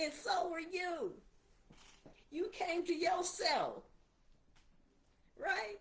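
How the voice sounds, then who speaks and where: With audible room echo, a woman with an extremely high pitch speaks at a very slow pace. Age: 60s. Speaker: preacher. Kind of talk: livestream sermon. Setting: livestream on laptop. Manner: animated.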